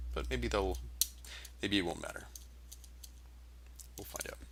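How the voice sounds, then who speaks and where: A man mumbles at a fairly quick pace in a very deep, low voice with vocal fry, and audible room echo surrounds him. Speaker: vector artist live-streaming drawing. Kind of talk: live-stream drawing commentary. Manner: mumbling to self; rambling, hesitant with fillers.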